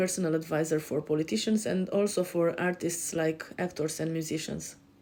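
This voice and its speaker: A woman with a European accent, fairly low pitch and a dark, mellow tone, at a fairly quick pace with fairly even intonation. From Romania. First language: Romanian. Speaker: life coach. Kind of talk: self-introduction on a show. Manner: hesitant, many fillers.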